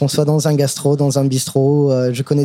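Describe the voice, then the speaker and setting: A man speaks at a medium pitch with monotone, flat intonation. Noticeable background noise is present. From US, Brooklyn, New York. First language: English (speaking French). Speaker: chef. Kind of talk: casual chat. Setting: restaurant.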